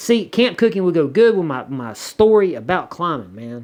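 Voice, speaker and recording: A man with a Southern US accent and very wide pitch swings. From US South. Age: 40s. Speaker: YouTuber. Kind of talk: casual chat. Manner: halting, many repetitions.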